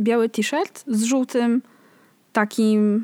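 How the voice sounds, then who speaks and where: The sound is dry and close with no echo as a woman speaks at a fairly high pitch with ordinary pitch variation. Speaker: podcast co-host. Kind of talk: casual chat.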